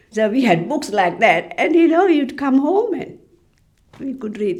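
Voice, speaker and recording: Amid audible room echo, a woman speaks with lively intonation and vocal fry. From Sri Lanka. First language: Tamil. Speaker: library officer. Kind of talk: interview.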